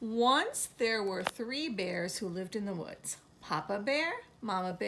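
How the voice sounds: Natural voice, reading aloud.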